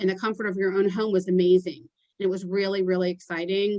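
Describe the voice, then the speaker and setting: Her pace is fairly quick. The speaker is a woman. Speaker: public relations consultant. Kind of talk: workshop presentation. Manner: fast.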